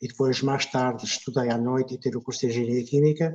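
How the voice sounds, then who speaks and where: The speech carries a European Portuguese accent at a fairly quick pace. Intonation stays fairly even. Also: man. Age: 70s. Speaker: retired chemical engineer, guest speaker. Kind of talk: casual talk.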